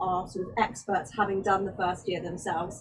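A woman at a moderate pace. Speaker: boarding house parent. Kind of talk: webinar presentation. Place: open country.

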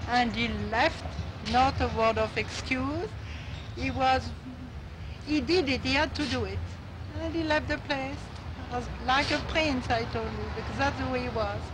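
A woman talks at a moderate pace, leaving long, frequent pauses, while noticeable background noise carries on. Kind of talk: interview answer. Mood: amused, animated. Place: street.

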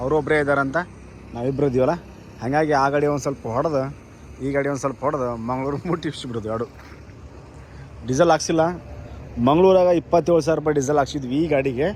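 A man with a fairly high pitch, fast pace, fairly even intonation, and a slightly mellow tone

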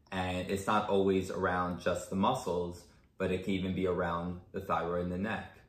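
A man with a very deep, low pitch is heard with audible room echo. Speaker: chiropractor. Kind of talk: interview. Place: home room. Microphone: camera far.

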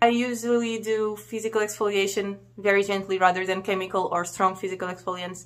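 Speaking at a fairly quick pace, a woman keeps a monotone, flat intonation. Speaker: beauty reviewer. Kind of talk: casual product review. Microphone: phone near.

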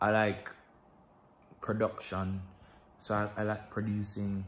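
A man speaks with a Jamaican accent in a fairly low, flat monotone. His pace is fairly slow, with light background noise. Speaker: vlogger. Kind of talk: casual vlog. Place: home room. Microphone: phone near.

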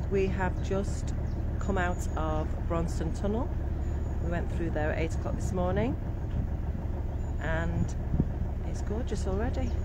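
Loud background noise fills the clip. Long pauses come often. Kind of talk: casual vlog chat. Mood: cheerful, relaxed. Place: boat. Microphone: phone near.

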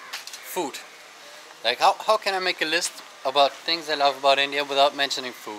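A man with a German accent speaks at a moderate pace and a fairly high pitch, with noticeable background noise. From Germany. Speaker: travel vlogger. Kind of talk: casual vlog monologue. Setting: outdoors. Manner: conversational with frequent fillers. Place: beach. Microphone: phone near.

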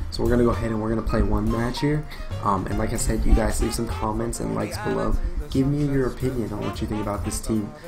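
A man speaks very fast, with clear music in the background. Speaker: gamer streamer. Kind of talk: casual gameplay commentary. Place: home room. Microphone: webcam.

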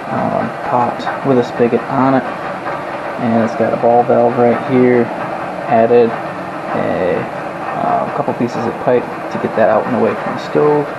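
The speaker goes at a fairly slow pace with long, frequent pauses. Loud background noise is present. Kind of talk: tutorial. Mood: relaxed, enthusiastic. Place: kitchen. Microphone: phone near.

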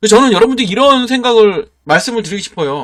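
High-pitched and animated in tone, a man speaks. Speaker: stock market YouTuber. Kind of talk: sales pitch. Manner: forceful intonation.

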